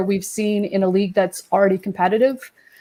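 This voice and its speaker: A woman with an American accent talks at a fairly quick pace and a medium pitch. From Quebec, Canada. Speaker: football writer. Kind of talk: casual chat.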